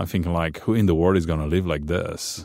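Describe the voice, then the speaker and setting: A man speaks with a Romanian accent. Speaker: pastor. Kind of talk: interview testimony. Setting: studio. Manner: loud.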